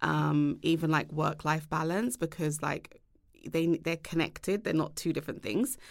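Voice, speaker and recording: On a very clean recording with a silent background, a woman with a very deep, low pitch and vocal fry talks at a moderate pace. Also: ordinary pitch variation. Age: 30s. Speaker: tech startup founder. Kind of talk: interview.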